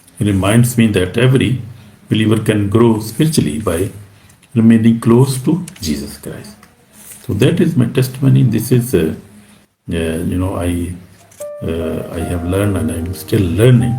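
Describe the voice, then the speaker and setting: With long, frequent pauses, a man speaks at a fairly low pitch in a room with audible echo. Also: lively intonation, moderate pace. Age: 60s. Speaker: pastor. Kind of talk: sermon. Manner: halting.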